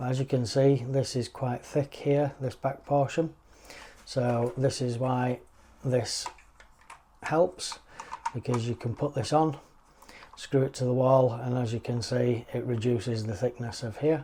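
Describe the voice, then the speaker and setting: Speaking at a fairly slow pace with a British accent, a man keeps his intonation fairly even and leaves long, frequent pauses. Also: medium pitch for a man. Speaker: tech reviewer. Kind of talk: product review tutorial. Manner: flat.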